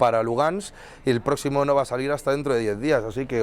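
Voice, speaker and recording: With a strong Madrid accent, the speaker moves at a fairly quick pace and keeps the intonation fairly even. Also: man. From Madrid, Spain. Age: 30s. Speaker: humanitarian volunteer. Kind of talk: interview testimony. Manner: fast; halting, many fillers and restarts.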